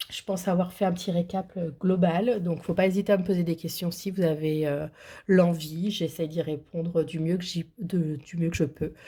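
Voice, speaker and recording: A woman's somewhat breathy, fairly low voice, dark and mellow in tone, holds fairly even intonation in a very clean recording with a silent background. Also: moderate pace. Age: 30s. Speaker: budgeting vlogger. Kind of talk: casual vlog. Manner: hesitant, many fillers.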